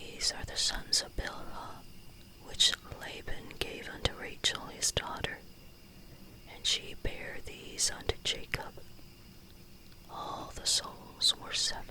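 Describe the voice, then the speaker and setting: Someone whispers in a soothing tone at a very slow pace, with long, frequent pauses. Noticeable background noise sits behind the voice. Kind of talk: whispered Bible reading for sleep or devotions. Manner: whispered, soothing.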